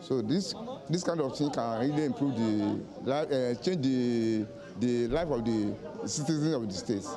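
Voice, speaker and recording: The speech moves at a moderate pace with ordinary pitch variation and very even loudness. Music plays in the background, and audible room echo is present. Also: man, medium pitch for a man. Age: 60s. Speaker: voter. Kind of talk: vox pop interview.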